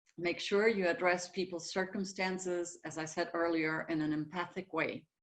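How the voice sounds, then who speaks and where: A woman with a German accent. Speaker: communication consultant. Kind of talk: webinar lecture.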